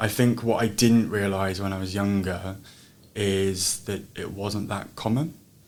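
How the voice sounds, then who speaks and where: At a fairly slow pace, a man speaks with a fairly low pitch. Audible room echo surrounds his voice. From Jersey, Channel Islands. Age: 20s. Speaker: teacher. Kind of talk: interview. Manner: hesitant with repetitions.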